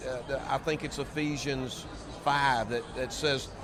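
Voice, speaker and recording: Fairly high in pitch, a man speaks at a fairly slow pace with ordinary pitch variation. Audible room echo and noticeable background noise surround him. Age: 70s. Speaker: seminary president. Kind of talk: interview. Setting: convention floor.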